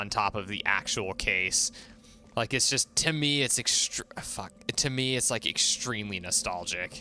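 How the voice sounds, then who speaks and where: A man with an American accent, medium pitch, a bright, sharp tone, ordinary pitch variation and a fairly slow pace. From US West, southeast Idaho (Pocatello). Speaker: gaming streamer. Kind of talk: casual live stream chat.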